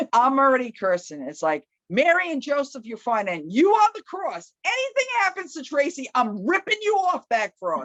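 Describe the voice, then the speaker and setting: Loud and high-pitched, a woman talks with very wide pitch swings in a dry, close recording with no echo. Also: moderate pace, hardly any pauses. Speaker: EMT, interviewed with her partner. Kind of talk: storytelling in a couple's interview. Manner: animated.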